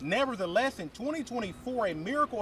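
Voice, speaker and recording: A man talking at a fairly quick clip, high-pitched with very wide pitch swings, over noticeable background noise. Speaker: sports anchor and reporter. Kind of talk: TV news read.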